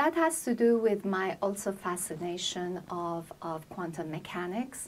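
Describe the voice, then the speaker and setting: This woman speaks with an American accent and ordinary pitch variation. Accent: Persian-tinged American English. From Iran. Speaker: poet and translator. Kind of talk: interview.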